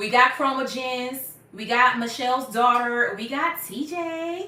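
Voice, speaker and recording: A woman speaks at a high pitch with a bright, sharp tone and lively intonation. Audible room echo is present. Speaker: YouTuber on natural hair care. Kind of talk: live stream Q&A. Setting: live stream at home. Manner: casual, chatty.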